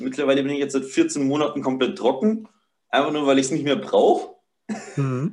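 Speaking at a fairly quick pace yet with long, frequent pauses, a man uses a fairly high pitch and ordinary pitch variation. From Upper Palatinate, Bavaria. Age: 20s. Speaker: barefoot living and ice bathing enthusiast. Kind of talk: casual interview.

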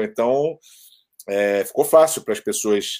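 Ordinary pitch variation marks a man's speech. He keeps a moderate pace. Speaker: rap YouTuber and sports businessman. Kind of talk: casual chat. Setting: video call.

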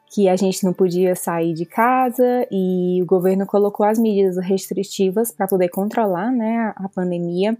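Over music in the background, a woman talks at a moderate pace with hardly any pauses, medium pitch and fairly even intonation. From Brazil, Fortaleza (Ceará). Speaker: veterinarian and new mother. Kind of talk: interview testimony.

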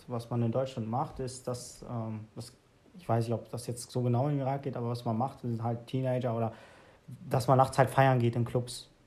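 At a moderate pace, a somewhat breathy man speaks in a monotone, flat way. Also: medium pitch for a man. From Germany. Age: 20s. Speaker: podcast host. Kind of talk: casual chat.

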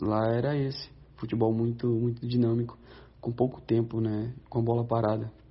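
The voice is somewhat breathy, with a monotone, flat intonation. It moves at a moderate pace and keeps its loudness very even. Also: man, medium pitch for a man. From Brazil. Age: 30s. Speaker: professional footballer. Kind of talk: recorded interview answers.

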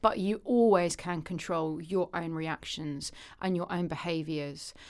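A woman with a British accent speaks at a fairly low pitch. The recording is very clean, with a silent background. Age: 40s. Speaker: literary agent and publishing consultant. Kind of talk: casual interview.

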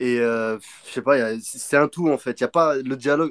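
In a dry, close sound with no echo, a man with a plain, everyday voice speaks at a medium pitch and a moderate pace with ordinary pitch variation. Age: 20s. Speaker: machinist, manga fan guest. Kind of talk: casual chat.

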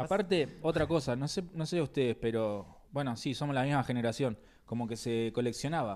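A man with a Rioplatense accent speaks at a fairly quick pace, his pitch medium and his intonation lively. The recording is very clean, with a silent background. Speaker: comedy podcast co-host. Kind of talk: casual chat.

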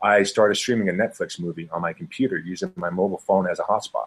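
A man's fairly low voice with an American accent, ordinary pitch variation and a fairly quick pace. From US West (Montana and Utah). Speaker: former pro basketball player, entrepreneur. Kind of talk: interview. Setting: video call.

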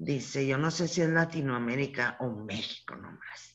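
A woman with a northern Mexican accent talks at a very slow pace, her pitch very deep and low, her intonation lively. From Chihuahua, northern Mexico. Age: 60s. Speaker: feminist scholar and professor. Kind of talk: interview testimony.

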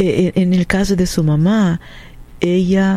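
A woman with a Portuguese accent speaks at a fairly low pitch. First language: Portuguese (speaking Spanish). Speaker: radio co-host. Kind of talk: radio call-in show hosting.

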